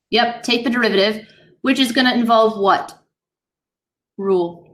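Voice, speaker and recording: A woman's fairly high voice, very even loudness and ordinary pitch variation, with audible room echo. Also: moderate pace. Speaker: high school math teacher. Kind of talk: classroom lecture.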